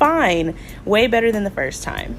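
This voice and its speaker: Background music accompanies the audio. Over it, a woman talks. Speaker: home cook. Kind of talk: voiceover cooking tutorial.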